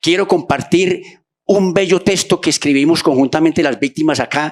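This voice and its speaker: Here a man is talking. He keeps a moderate pace. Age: 60s. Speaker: human rights activist, audience member at forum. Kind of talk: public forum intervention. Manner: halting, many fillers and repetitions.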